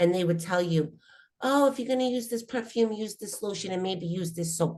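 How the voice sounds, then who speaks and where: This woman has an ordinary speaking voice at a medium pitch. She talks at a fairly quick pace with lively intonation. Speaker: spiritual teacher. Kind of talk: spiritual workshop talk.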